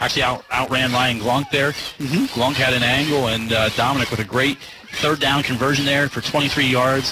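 Over noticeable background noise, a man with a medium pitch speaks at a moderate pace, sounding animated while keeping his loudness very even. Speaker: color commentator. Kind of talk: live sports color commentary, analysis between plays. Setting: stadium broadcast booth. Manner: conversational, animated, chatty analyst.

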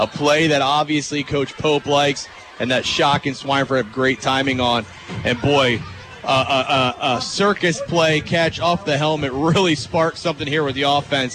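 Noticeable background noise sits under a man's fairly high voice. His intonation is fairly even and his loudness very even. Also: moderate pace. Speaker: color commentator. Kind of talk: live sports analysis. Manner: conversational, emphatic analysis.

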